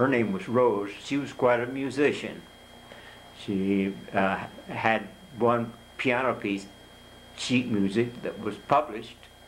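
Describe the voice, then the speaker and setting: With a Midwestern US accent, a man at medium pitch speaks at a very slow pace with fairly even intonation, long, frequent pauses and audible room echo. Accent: US Midwest. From Kansas, Topeka. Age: 90s. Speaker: hall of fame inductee. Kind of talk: interview. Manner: halting.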